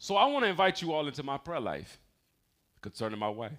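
Lively intonation runs through this man's very fast speech. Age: 40s. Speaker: pastor. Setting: church service, also streamed online. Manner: preacher in full flow: repeating key lines, pausing for crowd response, rising emphasis; conversational and confessional, with self-corrections and stumbles.

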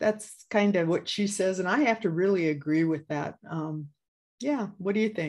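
This woman has a plain, everyday voice at medium pitch, in an American accent. Her intonation is lively and her pace moderate. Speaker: podcast co-host. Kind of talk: casual chat.

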